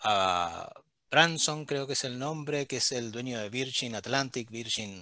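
A man with a bright, sharp tone talks at a fairly slow pace in a medium pitch with ordinary pitch variation. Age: 40s. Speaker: HR director. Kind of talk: interview.

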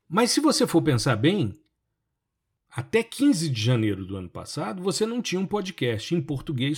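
His pitch swings very widely as the man speaks at a moderate pace. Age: 50s. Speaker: podcast host and remote sensing professor. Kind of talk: solo podcast monologue. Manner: conversational.

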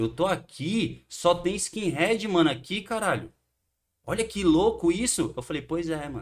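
Lively intonation marks this man's speech. His pitch is high. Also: fairly slow pace. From Brazil, Santos (São Paulo coast). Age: 30s. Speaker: punk band musician. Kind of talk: casual chat.

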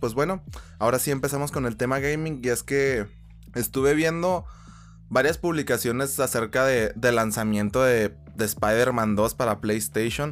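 Backed by music, a man with a Mexican accent speaks at medium pitch and a fairly slow pace, his intonation lively. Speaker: gaming podcaster. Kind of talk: casual monologue. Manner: animated.

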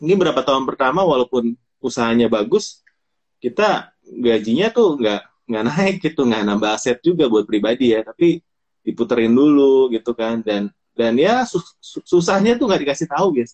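At a moderate pace, a man talks in an ordinary speaking voice of medium pitch with lively intonation. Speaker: podcast host. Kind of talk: casual chat, live stream interview. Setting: live stream, online. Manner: friendly, conversational.

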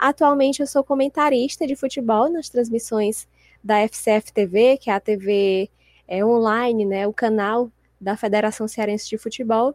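In a very clean recording with a silent background, a woman talks at a fairly slow pace with ordinary pitch variation. Hers is a plain, everyday voice. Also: fairly high pitch for a woman, dry, close sound with no echo. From Brazil, Fortaleza, Ceará. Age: 20s. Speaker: sports journalist and author. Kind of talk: casual interview chat.

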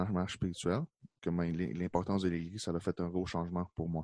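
Speaking with a Quebec accent, a man has a dark, mellow tone and a fairly quick pace. The background is quiet, and the sound is dry and close with no echo. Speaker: youth pastor. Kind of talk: casual chat.

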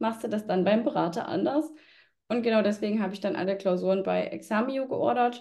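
A woman speaks at a fairly high pitch. Her voice carries vocal fry. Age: 20s. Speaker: tax exam candidate. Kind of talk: interview.

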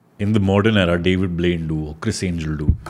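A man with an Indian accent speaks at a moderate pace, his pitch varying in an ordinary way. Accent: Indian English, Hindi-English code-switching. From India, Delhi. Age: 30s. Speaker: magician. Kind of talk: casual chat.

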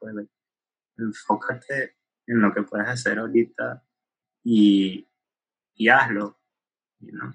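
A man with a bright, sharp tone and a medium pitch speaks at a fairly slow pace. The sound is dry and close with no echo. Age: 20s. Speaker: youth ministry leader at a church. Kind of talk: casual chat. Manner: Spanish-English code-switching.

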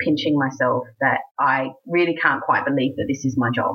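This woman has an American accent. She talks at a moderate pace. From rural South Australia, between Adelaide and Melbourne. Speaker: cabaret and burlesque performer, singer. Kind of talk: casual interview chat.

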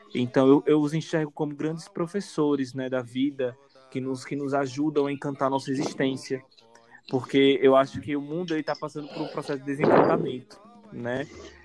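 Fairly high male pitch, fairly even intonation and a moderate pace, all over noticeable background noise. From Aracaju, Sergipe, northeastern Brazil. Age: 20s. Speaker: designer and religious priest. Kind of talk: casual chat.

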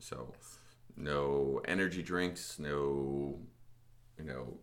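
In a room with audible echo, a man speaks very slowly at a very deep, low pitch with fairly even intonation. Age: 30s. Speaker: gym podcast host. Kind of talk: casual chat.

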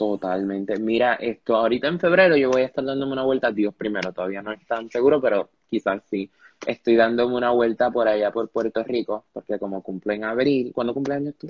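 A man's voice sits at a medium pitch, moving fairly quickly and rising and falling in an ordinary way. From Panama. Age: young. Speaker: podcast host, student. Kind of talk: casual interview. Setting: live stream. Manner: animated.

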